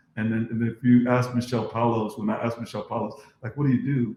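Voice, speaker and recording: A man speaks at a very fast pace in a dark, mellow tone, somewhat breathy and monotone, with flat intonation. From Philippines, moved to US at nine. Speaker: dentist and podcast host. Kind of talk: casual chat. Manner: halting, repetitive fillers.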